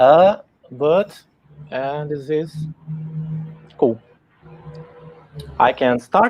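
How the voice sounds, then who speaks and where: Someone speaks with a Portuguese accent. Music plays in the background. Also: man. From Brazil. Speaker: tech talk speaker. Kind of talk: tech talk. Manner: halting.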